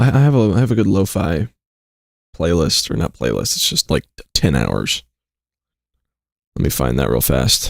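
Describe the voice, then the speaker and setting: A man with a very deep, low voice and vocal fry speaks at a moderate pace, his pitch swinging very widely. Long pauses come often, and the sound is dry and close with no echo. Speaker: streamer. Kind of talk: casual live stream chat. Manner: loud.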